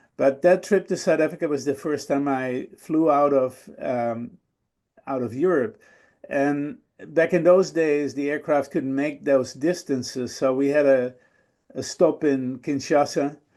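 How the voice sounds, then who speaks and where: A man with a Dutch accent speaks at a fairly slow pace in a dark, mellow tone, his pitch fairly high with ordinary variation. The background is quiet. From Netherlands. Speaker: guest speaker. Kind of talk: storytelling talk. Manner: hesitant with fillers.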